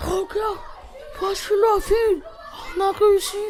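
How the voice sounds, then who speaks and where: At a fairly slow pace, a put-on character voice rises to an extremely high pitch over clear background noise. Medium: stage play.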